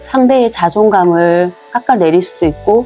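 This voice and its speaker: Her intonation is lively. Music plays behind this woman as she talks. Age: 40s. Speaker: homemaker and mother. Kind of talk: casual talk to camera. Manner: soft-spoken, reflective.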